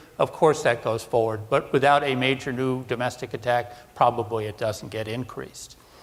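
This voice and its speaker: A man with an American accent, medium pitch, a fairly quick pace and hardly any pauses, amid noticeable background noise. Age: 60s. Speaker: defense analyst. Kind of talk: conference presentation.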